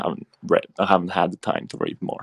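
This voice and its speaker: The voice has a Spanish accent and a dry, close sound with no echo. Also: man. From Spain, Barcelona. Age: 20s. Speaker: crypto investor. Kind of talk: casual chat. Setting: audio chat room. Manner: halting.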